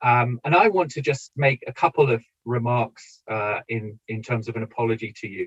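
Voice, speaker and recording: Here a man with a British accent talks at medium pitch and moderate pace, with ordinary pitch variation. His voice is somewhat breathy, and the sound is dry and close with no echo. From Britain. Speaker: political science professor. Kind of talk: lecture. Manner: hesitant, many fillers.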